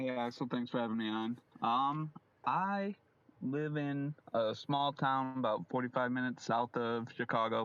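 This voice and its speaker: A man with an American accent talks in a plain, everyday voice at medium pitch and a fairly slow pace, with ordinary pitch variation and very even loudness. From Illinois, US Midwest. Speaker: dock worker, fantasy football league member. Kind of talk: casual chat.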